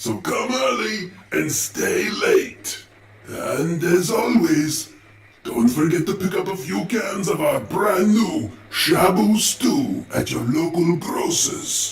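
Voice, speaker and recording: A man speaks in a cartoonish character voice, pitched high. He talks very slowly, with a slight echo. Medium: puppet. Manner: grandiose, comic.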